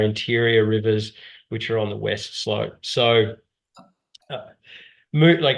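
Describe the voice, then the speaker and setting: Speaking in an Australian accent, a man uses a medium pitch. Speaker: whitewater paddling instructor and outdoor business owner. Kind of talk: webinar presentation.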